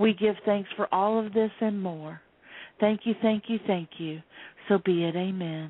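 A woman with a plain, everyday voice and a medium pitch speaks at a fairly slow pace with fairly even intonation. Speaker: psychic healer and artist. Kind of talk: psychic reading on radio.

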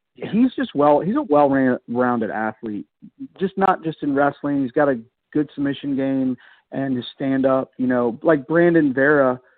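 A man talks at a moderate pace in a plain, everyday voice. His pitch is fairly high, with ordinary variation. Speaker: college wrestling coach. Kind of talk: casual radio chat about wrestling.

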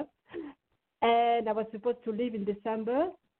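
Moderate pace with a slight French accent. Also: woman. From France, Lyon. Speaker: singer-songwriter. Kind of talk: interview.

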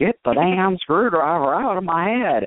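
A man puts on a character voice in a Southern accent, pitched high. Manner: comic, exaggerated.

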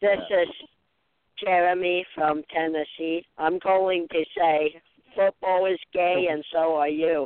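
A robotic, put-on character voice at a middle pitch and a fairly slow pace. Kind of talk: prank caller.

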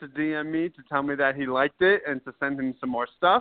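Fairly quick in pace, a man talks with ordinary pitch variation. He has a plain, everyday voice. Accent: American. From Worcester, Massachusetts. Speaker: sports blogger. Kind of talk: casual interview.

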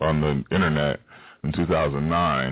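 With an extremely low pitch, a man speaks at a moderate pace and with fairly even intonation.

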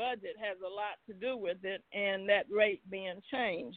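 A woman speaks at a fairly high pitch with ordinary pitch variation in a plain, everyday voice. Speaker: caller. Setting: phone call.

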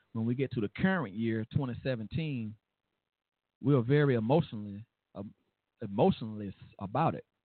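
The man's voice sits at a medium pitch and shows ordinary pitch variation. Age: 30s. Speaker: radio host. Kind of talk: talk radio monologue.

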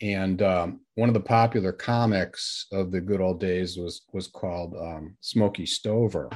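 A man's very deep, low voice with a Midwestern American accent, fairly even intonation and a fairly slow pace, on a very clean recording with a silent background. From US Midwest, northern Illinois. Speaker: author and former journalist. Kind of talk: interview.

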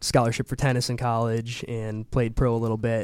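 A man with an American accent speaks in a normal speaking voice. His pitch is medium and his pace moderate. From Wisconsin, Milwaukee. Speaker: actor and musician. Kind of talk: casual interview chat.

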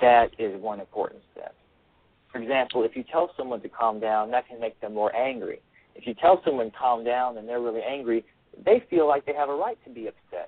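In an ordinary speaking voice, a man with an American accent talks at a fairly quick pace and medium pitch, with ordinary pitch variation and big swings in loudness. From US South, Alabama. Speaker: author and peace activist, army veteran. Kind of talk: radio interview.

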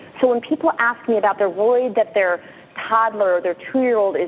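Over noticeable background noise, a woman talks fairly quickly at a fairly high pitch with ordinary pitch variation. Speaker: pediatrician and author. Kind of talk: radio interview.

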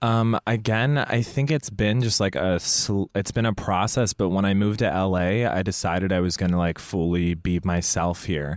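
A man with an American accent, a normal speaking voice at fairly low pitch, ordinary pitch variation, very even loudness, moderate pace and hardly any pauses. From Indonesia (American missionary family). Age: 20s. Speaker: comedian. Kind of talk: casual chat.

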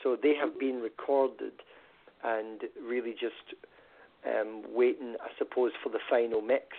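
A fairly slow delivery in a Scottish accent, with long, frequent pauses. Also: man. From Scotland. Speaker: musician. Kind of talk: casual interview. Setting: phone call.

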